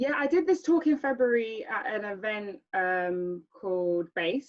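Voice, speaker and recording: Speaking with a London accent, a woman uses ordinary pitch variation. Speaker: speaker giving a talk. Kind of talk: presentation with group chat. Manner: stammer.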